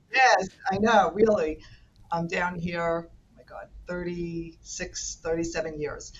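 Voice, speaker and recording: A woman with a strong New York accent speaks at a very slow pace and a fairly low pitch. Her pitch varies in an ordinary way, while her loudness swings widely. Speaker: senior care manager. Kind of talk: podcast interview. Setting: remote call.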